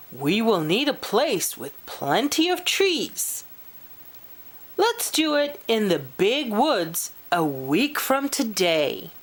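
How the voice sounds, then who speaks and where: Using a put-on character voice, a woman talks very slowly at a fairly high pitch with very wide pitch swings. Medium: read story. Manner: boastful.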